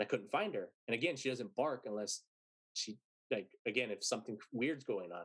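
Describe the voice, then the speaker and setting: Lively intonation marks a plain, everyday voice with an American accent, moving at a moderate pace. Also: man, medium pitch for a man. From San Antonio, Texas. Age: 30s. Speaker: musician and podcast host. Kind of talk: storytelling interview.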